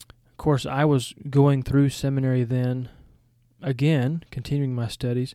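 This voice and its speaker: In a Southern US accent, a man talks at a fairly slow pace with a fairly high pitch. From Georgia, US South. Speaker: seminary podcast host and former missionary and college teacher. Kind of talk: podcast introduction, scripted-style monologue.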